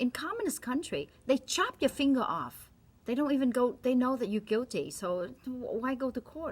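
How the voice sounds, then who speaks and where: The speaker has a Vietnamese accent and lively intonation. Noticeable background noise runs underneath. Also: woman, high pitch for a woman, moderate pace. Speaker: doctor. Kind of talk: opinion monologue. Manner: animated.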